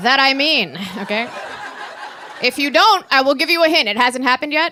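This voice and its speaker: With an American accent, a woman uses a raised, projected voice at a high pitch, talking at a fairly quick pace with lively intonation over noticeable background noise. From Maryland. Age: 40s. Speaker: stand-up comedian. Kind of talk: live stand-up comedy set. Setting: live venue with audience. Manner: sardonic, angry joy.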